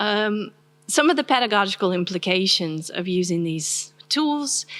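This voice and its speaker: With an American accent, a woman talks at a fairly slow pace, her medium pitch carried by lively intonation. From US South. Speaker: university professor. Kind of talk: academic lecture. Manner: soft-spoken.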